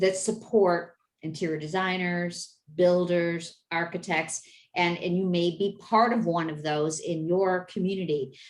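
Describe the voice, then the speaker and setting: Delivered at a fairly slow pace with ordinary pitch variation, this is an ordinary speaking voice. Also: woman. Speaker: business network founder. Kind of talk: video meeting presentation.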